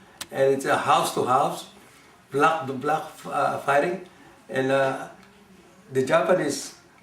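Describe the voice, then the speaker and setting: Amid noticeable background noise and audible room echo, a man speaks very slowly at a fairly high pitch with fairly even intonation and long, frequent pauses. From Philippines (Manila). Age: 70s. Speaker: war survivor. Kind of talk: oral history interview. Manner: halting, many fillers.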